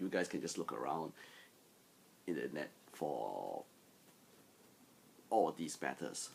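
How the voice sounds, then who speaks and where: A man with a very deep, low pitch and vocal fry speaks at a fairly slow pace, using lively intonation and long, frequent pauses. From Singapore. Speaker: Nerf hobbyist vlogger. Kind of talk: casual vlog monologue. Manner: halting, with many fillers.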